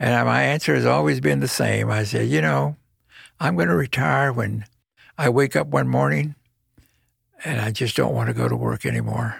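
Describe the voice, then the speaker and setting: With music absent and an American accent, a man speaks at a moderate pace in a very deep, low voice with vocal fry, very wide pitch swings and long, frequent pauses. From Texas, Corpus Christi. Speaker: judge. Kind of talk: interview.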